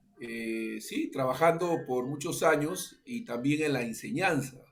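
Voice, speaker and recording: A man's voice at medium pitch, with audible room echo and noticeable background noise. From Peru. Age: 60s. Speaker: pastor. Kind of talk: interview. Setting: radio interview. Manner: halting, many fillers.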